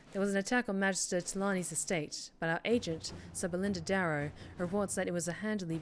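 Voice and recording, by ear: A natural voice reads aloud, its intonation fairly even.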